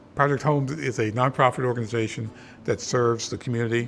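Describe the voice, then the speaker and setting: Over music in the background, a man speaks very fast at medium pitch with ordinary pitch variation. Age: 60s. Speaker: retiree, volunteer. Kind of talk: documentary interview.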